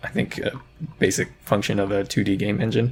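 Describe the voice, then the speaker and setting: A man speaks at a fairly quick pace in a fairly low voice. He has an unremarkable speaking voice. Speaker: indie game developer, tutorial youtuber. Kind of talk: tutorial. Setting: screen recording on laptop.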